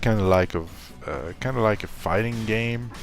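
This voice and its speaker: His delivery moves at a moderate pace. This man's voice has a medium pitch. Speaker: gaming youtuber. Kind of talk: casual video commentary. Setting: at home, living room. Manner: soft-spoken, ASMR-like quiet.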